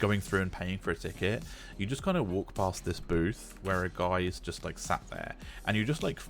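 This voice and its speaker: A man talks at a very deep, low pitch, with vocal fry in his voice. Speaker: game streamer. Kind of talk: casual chat. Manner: halting.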